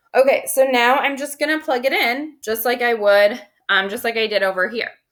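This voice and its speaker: Loud, bright, sharp female voice at a moderate pace with ordinary pitch variation. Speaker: high school math teacher. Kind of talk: recorded video lesson. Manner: casual, filler-heavy.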